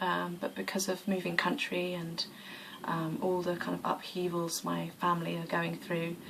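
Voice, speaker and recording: A woman speaks at a fairly low pitch. Noticeable background noise and audible room echo are present. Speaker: yoga vlogger. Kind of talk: casual vlog monologue. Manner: hesitant with many fillers.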